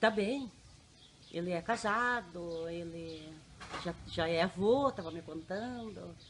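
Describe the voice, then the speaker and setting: A woman at a very slow pace, fairly low in pitch with ordinary variation, with long, frequent pauses and big swings in loudness. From Paraná interior, Brazil (Laranjeiras do Sul area). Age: 50s. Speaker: general services worker. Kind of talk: life story interview.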